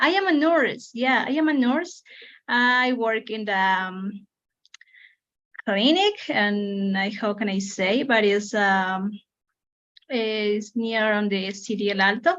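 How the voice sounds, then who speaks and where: A woman's fairly high voice in a Spanish accent, very slow and broken by long, frequent pauses, with ordinary pitch variation against a quiet background. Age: 30s. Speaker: English learner. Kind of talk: self-introduction in online English class. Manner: halting.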